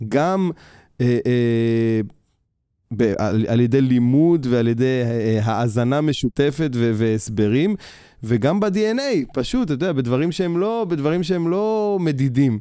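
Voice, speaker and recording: Over a quiet background, a man with a dark, mellow tone speaks very slowly with very wide pitch swings, the sound dry with no echo. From Israel, Beersheba; Israel. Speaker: orchestra conductor; guest. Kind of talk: interview. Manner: halting, repeats words. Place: studio. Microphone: studio mic.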